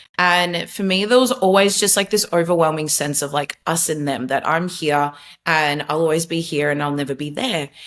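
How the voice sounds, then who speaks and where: The woman's voice sits fairly low in pitch. She talks in an Australian accent. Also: ordinary pitch variation, moderate pace. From Australia, Melbourne. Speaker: former social media marketer, faith testimony guest. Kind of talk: podcast interview, personal testimony. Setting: video call.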